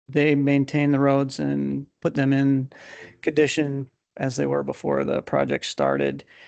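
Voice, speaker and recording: Soft-spoken and at a fairly slow pace, a man talks over a quiet background in a dry, close sound with no echo. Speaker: county roads official. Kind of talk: public meeting report. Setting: county board meeting.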